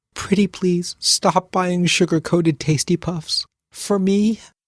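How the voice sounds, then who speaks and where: The speaker uses a put-on, shaky character voice at a middle pitch. The pace is fairly slow. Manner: pleading, pity-seeking.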